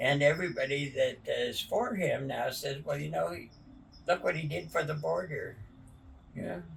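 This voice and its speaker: At a moderate pace, a man speaks against noticeable background noise. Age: 90s. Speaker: elderly interviewee. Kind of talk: casual chat.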